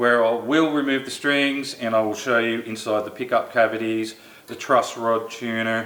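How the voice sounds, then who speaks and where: With noticeable background noise behind it, a voice in an Australian accent moves at a moderate pace with fairly even intonation. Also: man, medium pitch for a man. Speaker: guitar reviewer, channel owner. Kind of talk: casual product review. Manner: casual, conversational.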